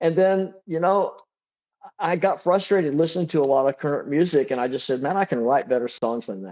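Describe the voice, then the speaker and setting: The background is quiet. A man with a fairly high pitch talks at a fairly quick pace. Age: 60s. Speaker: drummer and songwriter. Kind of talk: interview. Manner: halting, many repeated starts.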